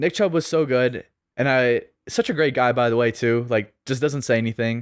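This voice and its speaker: Here a man speaks at a medium pitch with ordinary pitch variation and very even loudness. His pace is moderate, and the recording is very clean with a silent background. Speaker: fantasy football podcast host. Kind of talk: casual podcast monologue. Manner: casual, conversational.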